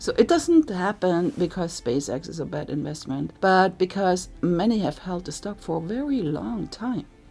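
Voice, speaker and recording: With music in the background, a woman talks at a moderate pace and medium pitch, making very wide pitch swings and hardly any pauses. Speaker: investing youtuber. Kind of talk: commentary video.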